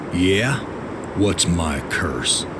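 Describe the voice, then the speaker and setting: Through loud background noise, a man does a put-on character voice. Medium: machinima. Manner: weary, brooding.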